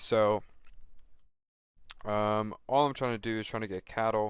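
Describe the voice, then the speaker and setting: A soft-spoken man talks at a fairly slow pace with fairly even intonation and a fairly low pitch. The recording is very clean, with a silent background. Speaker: gaming streamer. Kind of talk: gameplay commentary.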